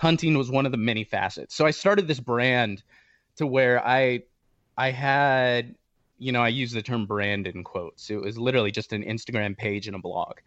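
This man talks at a moderate pace with medium pitch and ordinary pitch variation, in a normal speaking voice. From Southern California. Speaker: hunting podcaster. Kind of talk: casual interview conversation.

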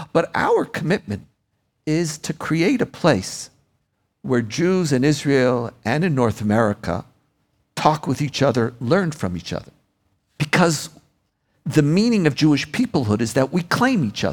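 The man speaks at a fairly slow pace with a fairly high pitch, very wide pitch swings and vocal fry. Long, frequent pauses break up his speech. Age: 60s. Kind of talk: live onstage interview. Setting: stage with audience.

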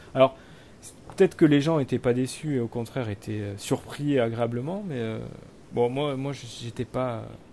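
With a dark, mellow tone, a man speaks at a fairly slow pace, medium in pitch with ordinary pitch variation. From France, Limousin. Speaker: podcast host. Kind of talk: casual chat. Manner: halting.

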